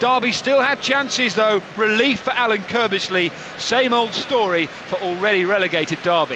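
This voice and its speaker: The voice is raised and projected, holding a very even loudness. Noticeable background noise runs underneath. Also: man, high pitch for a man, ordinary pitch variation, moderate pace, hardly any pauses. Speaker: sports reporter. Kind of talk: match report.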